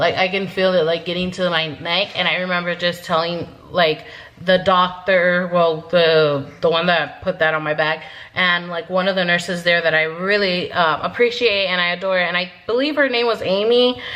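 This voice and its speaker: There is noticeable background noise behind a woman's voice. Her pitch is fairly low, with ordinary variation. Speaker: vlogger. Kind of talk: casual storytelling to camera. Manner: fast.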